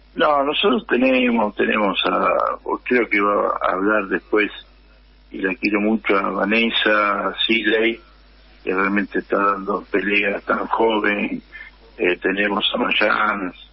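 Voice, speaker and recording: Speech comes at a very slow pace with very even loudness, against noticeable background noise. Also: man. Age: 70s. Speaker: union leader. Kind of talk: radio interview.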